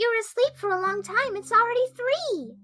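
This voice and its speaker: A woman does a squeaky, put-on character voice at an extremely high pitch. Her pace is fairly quick. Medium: audio drama. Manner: bright, energetic.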